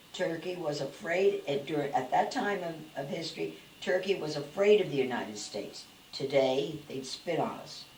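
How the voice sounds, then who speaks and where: A woman speaks at a moderate pace with a very deep, low pitch and lively intonation. Noticeable background noise can be heard. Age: 80s+. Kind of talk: interview answer.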